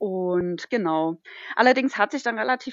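A woman talks in a normal speaking voice. Her pace is moderate and her pitch variation ordinary. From northern Thuringia, Germany. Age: 30s. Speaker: dog musher and hiker. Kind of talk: casual chat.

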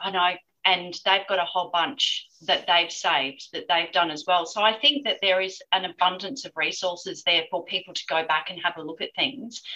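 Medium-pitched female voice with a bright, sharp tone and ordinary pitch variation. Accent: Australian. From Australia. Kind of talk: interview. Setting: remote call.

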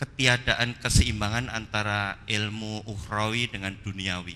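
A man with a bright, sharp tone and a fairly low pitch speaks at a fairly slow pace. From Minangkabau, West Sumatra. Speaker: audience member asking question. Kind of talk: audience question. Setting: mosque.

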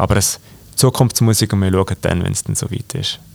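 A man's fairly low-pitched voice comes through noticeable background noise. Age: 20s. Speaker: company executive and cantonal politician. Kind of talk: interview. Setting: company office.

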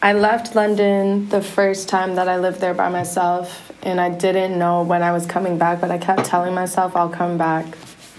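Over noticeable background noise, a woman with a medium-pitched voice talks at a moderate pace. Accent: American.

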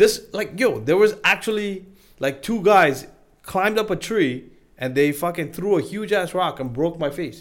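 A man's high-pitched voice at a moderate pace, lively intonation, on a very clean recording with a silent background. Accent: Sri Lankan. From Sri Lanka. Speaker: insurance broker. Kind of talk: casual podcast interview.

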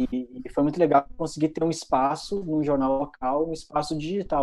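At a fairly quick pace, a man talks in a dark, mellow tone, fairly high in pitch with ordinary pitch variation. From Rio Grande do Sul, Brazil (Santiago, interior near Argentina). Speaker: content marketing head, journalist. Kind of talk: interview.

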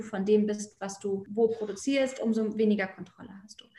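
A woman's fairly high-pitched, monotone, flat voice at a moderate pace, with noticeable background noise. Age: 30s. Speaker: fashion label founder. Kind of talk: podcast interview.

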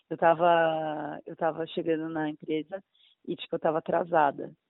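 This woman's voice is pitched very deep and low. She is a woman with a notably low register. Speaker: aspiring actress. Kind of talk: casual chat.

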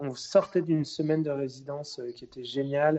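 A man with monotone, flat intonation. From Brittany, France (Rennes). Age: 20s. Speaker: singer and musician. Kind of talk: interview. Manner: hesitant, many repeated words.

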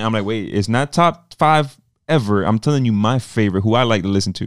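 There is a very clean recording with a silent background. A man of medium pitch talks fairly quickly with ordinary pitch variation. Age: 30s. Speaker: podcast host. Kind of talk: casual interview.

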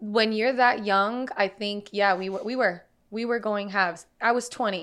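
At a moderate pace, a woman with an ordinary speaking voice talks at a medium pitch. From US, Puerto Rican and Dominican family. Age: 20s. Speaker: creative freelancer. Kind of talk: casual chat.

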